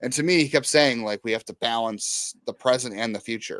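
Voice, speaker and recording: An unremarkable speaking voice from a man, medium in pitch, at a moderate pace, with a dry, close sound and no echo. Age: 30s. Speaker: sports podcast host. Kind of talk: casual podcast discussion.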